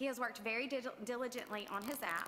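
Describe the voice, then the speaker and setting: The woman's voice is loud and high in pitch. She talks at a fairly quick pace with ordinary pitch variation. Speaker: teacher. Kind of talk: prepared speech at school board meeting.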